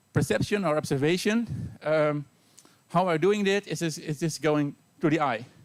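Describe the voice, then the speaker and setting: The speaker has a Dutch accent and a fairly quick pace. The sound is dry and close, with no echo. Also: man. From Netherlands. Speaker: university teacher. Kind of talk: lecture. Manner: fast.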